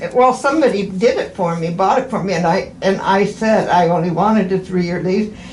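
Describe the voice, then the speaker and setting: A woman at medium pitch with ordinary pitch variation, a fairly quick pace and hardly any pauses, amid noticeable background noise and audible room echo. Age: 80s+. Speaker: patient. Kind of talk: casual chat. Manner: halting.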